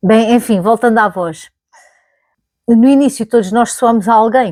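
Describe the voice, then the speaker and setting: Delivery comes at a moderate pace with ordinary pitch variation, dry and close with no echo. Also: woman. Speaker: YouTuber. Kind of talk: casual vlog monologue. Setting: recording to camera. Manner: conversational, with fillers and self-corrections.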